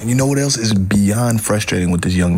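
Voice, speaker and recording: Amid noticeable background noise, a man sounds animated, talking at a fairly quick pace with ordinary pitch variation. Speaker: radio sports talk host. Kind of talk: sports talk radio show. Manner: opinionated, animated.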